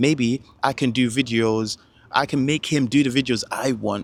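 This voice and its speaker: A man at medium pitch with ordinary pitch variation, on a very clean recording with a silent background. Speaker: self-improvement vlogger. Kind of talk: casual motivational monologue. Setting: recording to camera. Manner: halting, self-interrupting; animated.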